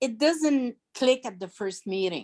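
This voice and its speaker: A woman with a French accent talks at a fairly slow pace with lively intonation, in a dry, close sound with no echo. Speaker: business founder. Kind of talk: Q&A answer on video call. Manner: halting.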